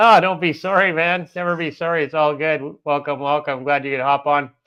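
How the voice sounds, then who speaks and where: A man with a Canadian accent and an unremarkable speaking voice, fairly high pitch, fairly even intonation and a fairly quick pace. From Canada, Manitoba. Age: 50s. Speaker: travel vlogger. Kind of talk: live stream chat. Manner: casual, chatty.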